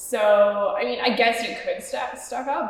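Amid noticeable background noise, a woman with a Canadian accent speaks at a fairly slow pace. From Canada, Toronto (Parkdale). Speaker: digital nomad. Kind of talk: casual chat. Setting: in person, coworking space.

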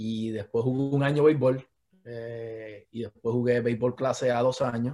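The voice is dark and mellow in tone, delivered in a flat monotone. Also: man, medium pitch for a man, fairly slow pace. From Puerto Rico, Patillas. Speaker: sports medicine doctor. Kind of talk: casual interview.

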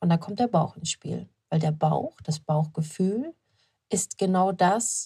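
Very slowly and somewhat breathily, a woman speaks at medium pitch with a dark, mellow tone, in a dry, close sound with no echo. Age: 30s. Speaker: business coach and podcast host. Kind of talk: solo motivational monologue. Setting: shop-front office with building work outside. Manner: casual, unscripted with frequent fillers.

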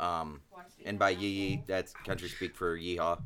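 At a moderate pace, a man with an American accent speaks in a bright, sharp tone. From Ohio. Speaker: podcast co-host. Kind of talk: casual chat.

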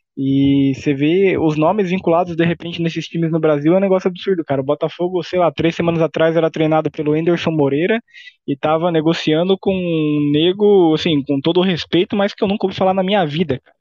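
A man with a high pitch speaks at a fairly quick pace with fairly even intonation, very even loudness and hardly any pauses. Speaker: football podcast host. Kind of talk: casual chat.

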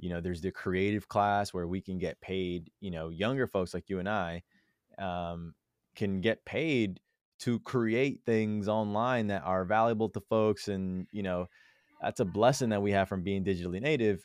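An ordinary speaking voice, a man's fairly low pitch moves at a moderate pace with ordinary pitch variation, dry and close with no echo over a quiet background. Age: 20s. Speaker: entrepreneur and investor. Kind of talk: casual chat.

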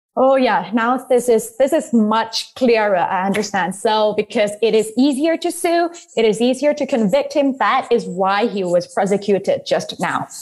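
A woman with a Thai accent talks at a moderate pace and fairly high pitch, her tone animated and intonation lively, with very even loudness and hardly any pauses. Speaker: podcast host. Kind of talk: casual chat.

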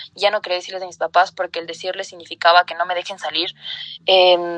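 In a dry, close recording with no echo and a quiet background, a woman speaks at a medium pitch with monotone, flat intonation. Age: 20s. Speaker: lawyer and feminist activist. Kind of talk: interview.

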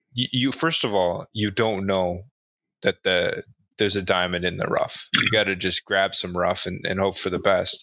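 A man with a plain, everyday voice talks at a moderate pace in a fairly low pitch with fairly even intonation. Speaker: podcast host. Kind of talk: casual chat.

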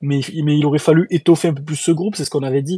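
Against a silent background in a very clean recording, a man talks at a very fast pace with a fairly high pitch, ordinary pitch variation and a dark, mellow, somewhat breathy tone. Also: dry, close sound with no echo. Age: 30s. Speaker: podcast host. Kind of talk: casual chat. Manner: animated.

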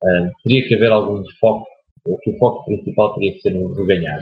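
The delivery runs at a moderate pace with ordinary pitch variation. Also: man. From Portugal, Aveiro district. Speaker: basketball coach. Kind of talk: interview. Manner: halting.

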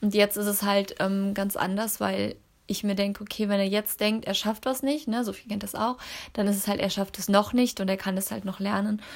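A woman speaks in a medium pitch at a moderate pace. Her intonation is monotone and flat. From Cologne area, western Germany. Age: 30s. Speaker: network marketer and mother. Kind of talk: casual interview chat. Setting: at home, sitting on the carpet.

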